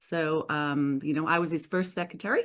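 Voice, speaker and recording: Against a quiet background, a woman speaks with a British accent. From northern England. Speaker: business owner. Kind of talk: interview.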